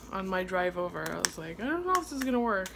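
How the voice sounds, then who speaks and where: Noticeable background noise can be heard as a woman talks at a fairly quick pace. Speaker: mother vlogger. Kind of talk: casual vlog chat. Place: kitchen. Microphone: phone near.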